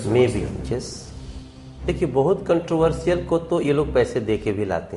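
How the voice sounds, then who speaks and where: Over music in the background, a man speaks with very wide pitch swings. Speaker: singer, actor and politician. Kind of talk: interview answer.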